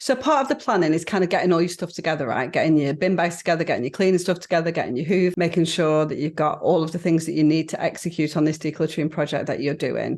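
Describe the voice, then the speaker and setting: Speech at a very fast pace. The accent is northern English. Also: woman. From northern England. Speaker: podcast co-host. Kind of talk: casual chat.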